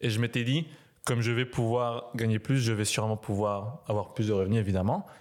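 A man with an unremarkable speaking voice talks at a fairly quick pace with fairly even intonation and very even loudness, in a very clean recording with a silent background. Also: medium pitch for a man. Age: 20s. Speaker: university student. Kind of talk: casual chat.

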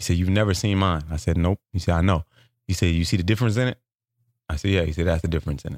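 Very deep and low, a man's voice comes at a very fast pace with an animated tone and ordinary pitch variation. The sound is dry and close with no echo, on a very clean recording with a silent background. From South Central Los Angeles. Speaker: stand-up comedian. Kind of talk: interview storytelling.

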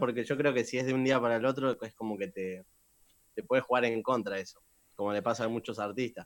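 In a very clean recording with a silent background, a man speaks with a Rioplatense accent. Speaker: trap singer. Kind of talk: interview.

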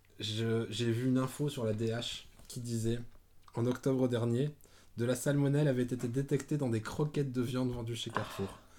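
A man speaks at a moderate pace with a medium pitch. His tone is dark and mellow, and his intonation is monotone and flat. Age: 30s. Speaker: podcast host. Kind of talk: casual chat.

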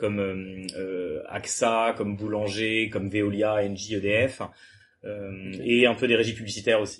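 A man talks at a fairly low pitch and a fairly slow pace, his intonation monotone and flat. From France, Le Mans. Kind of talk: casual chat. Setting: startup incubator premises, Toulouse.

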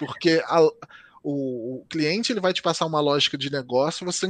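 With a Rio de Janeiro accent, a man talks at a fairly quick pace in a dry, close sound with no echo. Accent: Brazilian Portuguese, carioca. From Brazil, Rio de Janeiro. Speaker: software developer and live streamer. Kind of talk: casual interview chat.

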